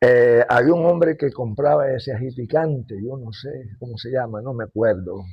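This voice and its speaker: Somewhat breathy, a man's medium-pitched voice moves at a moderate pace with ordinary pitch variation and big swings in loudness. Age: 80s+. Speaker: elderly local resident and composer. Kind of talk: oral history interview.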